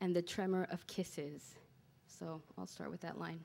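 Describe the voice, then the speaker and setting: A woman's dark, mellow tone at a fairly slow pace, in a very clean recording with a silent background. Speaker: poet. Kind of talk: casual introduction to a poem, conversational. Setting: live venue, poetry club. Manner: hesitant, apologetic, with fillers.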